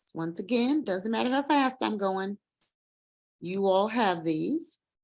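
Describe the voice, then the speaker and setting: A normal speaking voice moves at a fairly slow pace with lively intonation. The background is quiet. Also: woman. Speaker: nursing educator. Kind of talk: lecture. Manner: conversational.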